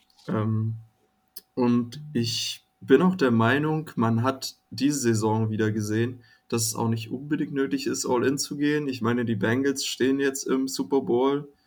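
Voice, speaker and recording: This is a normal speaking voice at a fairly slow pace. Its intonation stays fairly even. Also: man, medium pitch for a man. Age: 20s. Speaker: student, fan community guest. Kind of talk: casual chat.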